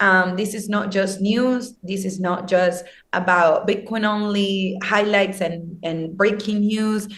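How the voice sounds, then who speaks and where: A woman speaks in a monotone, flat voice at a very slow pace. She leaves hardly any pauses, and the room echo is audible. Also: medium pitch for a woman. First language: not English. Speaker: social media team member of a crypto news channel. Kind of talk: interview conversation. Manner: hesitant, many fillers.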